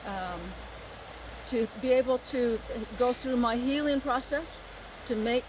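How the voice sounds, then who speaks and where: Woman's fairly high voice at a fairly slow pace, fairly even in intonation, over noticeable background noise. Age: 60s. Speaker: Native dancer and activist. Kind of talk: storytelling talk at a festival. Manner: halting, with repeated words.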